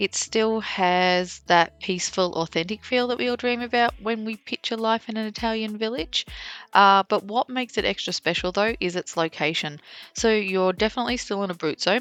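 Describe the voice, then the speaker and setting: A woman's fairly high voice with an Australian accent, ordinary pitch variation and a moderate pace, dry and close with no echo over a quiet background. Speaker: travel vlogger. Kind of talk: travel vlog narration. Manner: casual, chatty.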